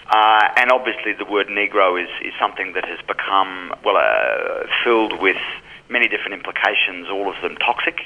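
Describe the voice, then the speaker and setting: Background noise is noticeable. A man talks at a moderate pace. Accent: Australian. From Australia. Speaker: film programmer. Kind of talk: interview. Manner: measured, with frequent fillers.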